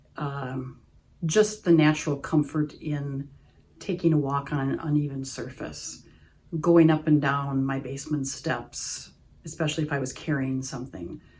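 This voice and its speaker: This woman's pitch is very deep and low. She speaks with an Upper Midwest accent. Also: fairly even intonation, moderate pace. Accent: Upper Midwest American. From US Midwest, Wisconsin. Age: 60s. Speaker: patient. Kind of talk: testimonial interview.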